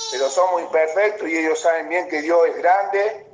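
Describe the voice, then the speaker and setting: With noticeable background noise and audible room echo, a man speaks at a fairly quick pace in a high pitch with fairly even intonation. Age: 30s. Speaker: professional footballer. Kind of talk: casual chat.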